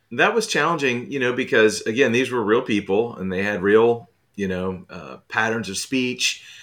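A man at medium pitch speaks in a plain, everyday voice, moderate in pace with hardly any pauses and ordinary pitch variation. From US South, moved around (born in Texas). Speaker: author. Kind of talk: casual interview. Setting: remote call.

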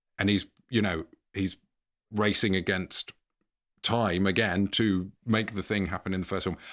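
In a very clean recording with a silent background, the voice has an English accent and a monotone, flat intonation, moving at a moderate pace with long, frequent pauses. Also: man, fairly low pitch for a man. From England. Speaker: podcast co-host, guest. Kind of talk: casual chat. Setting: home cupboard, standing.

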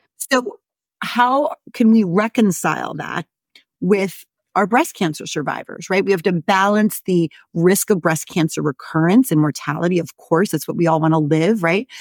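Recorded very cleanly against a silent background, a woman with a normal speaking voice talks at a moderate pace and medium pitch, her intonation lively and the sound dry and close with no echo. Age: 50s. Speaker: gynecologist and menopause doctor. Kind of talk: interview.

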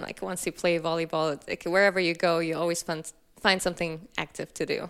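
A woman speaks at a moderate pace with monotone, flat intonation. The recording is very clean, with a silent background. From Kazakhstan and southern Germany. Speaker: company founder and CEO. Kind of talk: casual interview.

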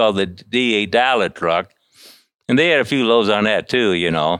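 With a Midwestern American accent, a man talks in a fairly low pitch with lively intonation. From US Midwest. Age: 60s. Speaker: truck driver. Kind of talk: interview, storytelling. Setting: in a shop. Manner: halting.

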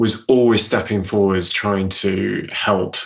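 In a British accent, a man speaks at a fairly low pitch. His pace is fairly slow and his intonation fairly even. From Zambia. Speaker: business consultant and keynote speaker. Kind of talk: casual interview. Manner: halting, many repetitions.

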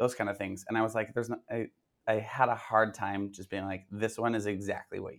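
On a very clean recording with a silent background, a man with a fairly low pitch speaks fairly quickly in a monotone, flat intonation, with big swings in loudness. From Minnesota. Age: 20s. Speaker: tumbling and cheer coach. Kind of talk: interview.

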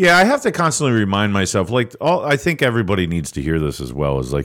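A man with an American accent talks at a fairly quick pace, his pitch swinging very widely. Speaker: local news podcast host. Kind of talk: casual chat.

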